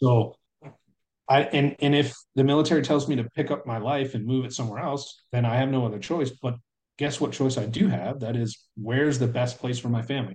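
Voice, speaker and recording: A man talks at a fairly quick pace in a somewhat breathy voice of medium pitch. His intonation stays fairly even. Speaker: military service member and father. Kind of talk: casual chat.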